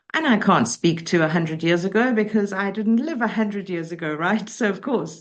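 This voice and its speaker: Her pitch is medium and varies in an ordinary way as the woman talks. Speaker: motivational speaker and coach. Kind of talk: interview. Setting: podcast. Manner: articulate, measured.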